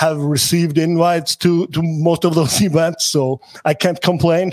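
The man has an Icelandic accent and a fairly high pitch. He talks at a moderate pace in a monotone, flat intonation. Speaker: sports agent. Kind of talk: interview.

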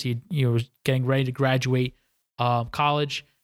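A man with a New York accent, monotone and flat in intonation, in a dry, close sound with no echo. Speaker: business owner. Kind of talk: interview.

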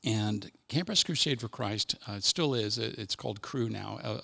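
A man talks at a moderate pace with a fairly low pitch and vocal fry. His tone is bright and sharp, with ordinary pitch variation. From US Midwest, Cincinnati, Ohio. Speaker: army chaplain. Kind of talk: casual interview, personal testimony.

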